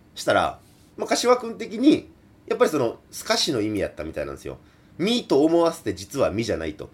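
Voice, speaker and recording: The speaker moves at a fairly quick pace with big swings in loudness. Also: man. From Kansai. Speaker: folk singer. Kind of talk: solo radio talk. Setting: remote recording.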